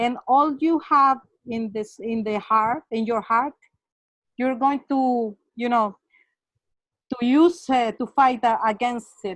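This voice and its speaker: Spoken in a Spanish accent at a very slow pace with long, frequent pauses, the voice shows ordinary pitch variation against a quiet background. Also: woman, high pitch for a woman. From Mexico, Acapulco. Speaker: webinar participant. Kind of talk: online discussion comment. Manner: halting, many fillers.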